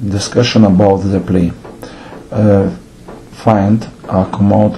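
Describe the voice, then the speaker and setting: A man speaks with a non-native accent at a very slow pace. His intonation stays fairly even over noticeable background noise. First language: not English. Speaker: theatre director. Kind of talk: lecture.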